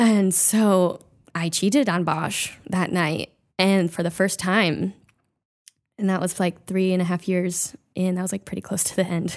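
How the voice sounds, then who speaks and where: A woman speaks at a fairly slow pace with fairly even intonation, in an ordinary speaking voice. The recording is very clean with a silent background. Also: medium pitch for a woman. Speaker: guest. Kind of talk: casual chat. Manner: talkative, chatty.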